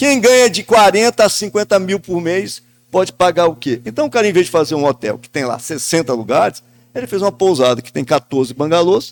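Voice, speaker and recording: This man talks at a fairly quick pace in a high pitch, with very wide pitch swings. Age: 60s. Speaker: journalist and business owner. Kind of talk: podcast panel discussion. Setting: event space at a guesthouse. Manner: talkative, long turns.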